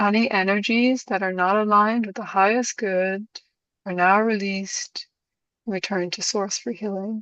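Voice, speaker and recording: A woman with an Irish accent, medium pitch and monotone, flat intonation at a moderate pace, in a dry, close sound with no echo and a quiet background. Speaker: spiritual session host. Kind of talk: spiritual intention invocation.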